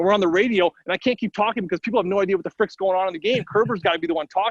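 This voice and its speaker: With a Midwestern US accent, a high-pitched man talks at a very fast pace in an animated tone, with ordinary pitch variation, big swings in loudness, and a dry, close sound with no echo. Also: hardly any pauses. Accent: US Midwest. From St. Louis, Missouri. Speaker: hockey radio color analyst. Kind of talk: interview.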